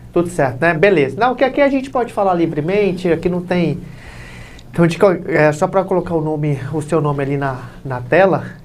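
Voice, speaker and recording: The speech moves at a fairly quick pace while noticeable background noise carries on underneath. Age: 20s. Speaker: podcast host. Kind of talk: interview.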